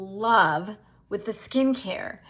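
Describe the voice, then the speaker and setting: In a very clean recording with a silent background, a woman with an unremarkable speaking voice talks slowly at a fairly high pitch with ordinary pitch variation. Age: 60s. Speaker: direct sales beauty consultant. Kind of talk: casual welcome talk to new team.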